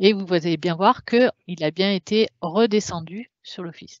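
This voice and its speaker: A woman is the one talking. Her voice rises and falls in an ordinary way. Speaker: software product presenter. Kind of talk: webinar software demo. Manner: halting, many fillers.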